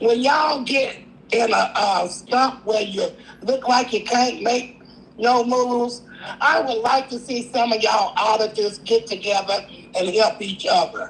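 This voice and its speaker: Speaking at a fairly slow pace, a woman with a fairly high pitch uses ordinary pitch variation over noticeable background noise. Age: 60s. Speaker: caller. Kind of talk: live call-in chat.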